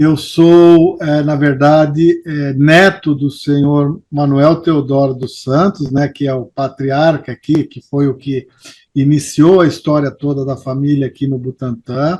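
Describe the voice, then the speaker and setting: Fairly high for a man, this is an unremarkable speaking voice. He talks at a fairly slow pace, with fairly even intonation and hardly any pauses. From São Paulo, Brazil. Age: 60s. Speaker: longtime local resident interviewed about neighborhood history. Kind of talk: interview.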